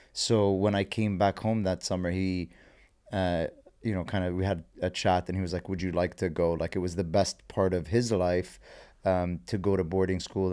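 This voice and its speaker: With an Arabic accent, a man speaks in a very deep, low pitch and a dark, mellow tone, his intonation fairly even, on a very clean recording with a silent background. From Saudi Arabia (Jeddah), Lebanese family. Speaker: entrepreneur and investor. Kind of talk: casual interview chat. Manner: hesitant, many fillers.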